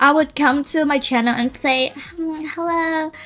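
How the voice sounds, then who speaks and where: Music plays in the background as a woman speaks at a fairly slow pace. Her voice is high-pitched, with an animated tone and ordinary pitch variation. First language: Cantonese. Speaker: language teacher and content creator. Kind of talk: casual vlog rant and language tutorial.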